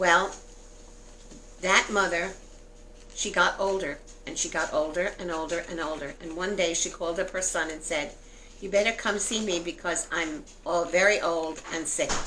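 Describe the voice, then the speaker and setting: Speaking at a moderate pace, a woman uses a fairly low pitch and fairly even intonation. She leaves long, frequent pauses, and room echo is audible. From New York City (Brooklyn). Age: 70s. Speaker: grandmother. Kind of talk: interview; reading aloud.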